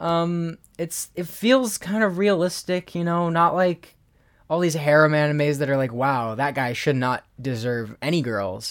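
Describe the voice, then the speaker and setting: A man speaks at a moderate pace with lively intonation in an ordinary speaking voice. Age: 20s. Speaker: podcast co-host. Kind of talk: casual chat.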